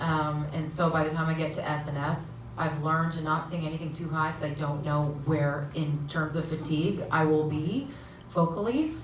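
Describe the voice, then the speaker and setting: A woman's very deep, low voice at a moderate pace, monotone and flat, with audible room echo. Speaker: singer and performer. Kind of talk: casual Q&A chat.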